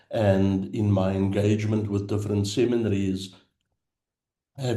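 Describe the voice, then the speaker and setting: A man's fairly low, dark and mellow voice, monotone and flat, with audible room echo. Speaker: theological education consultant. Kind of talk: lecture. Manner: slow.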